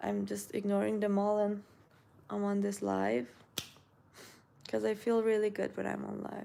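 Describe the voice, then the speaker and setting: A woman speaks with a slight Iranian accent. Her speech has long, frequent pauses. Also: moderate pace. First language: Persian. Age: 20s. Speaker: beauty influencer. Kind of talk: live stream chat reading comments. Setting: live stream at home. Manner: casual, halting with self-corrections.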